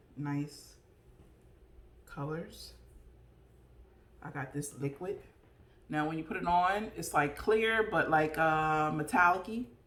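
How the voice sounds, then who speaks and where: Audible room echo surrounds this voice, which moves at a fairly slow pace with ordinary pitch variation. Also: woman. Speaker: vlogger. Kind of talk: casual chat. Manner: animated.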